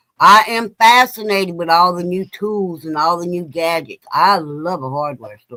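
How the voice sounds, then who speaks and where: Dry and close with no echo, a woman's voice has a bright, sharp tone and a fairly low pitch. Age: 60s. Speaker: guest on a drinking chat show. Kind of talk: casual chat. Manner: animated.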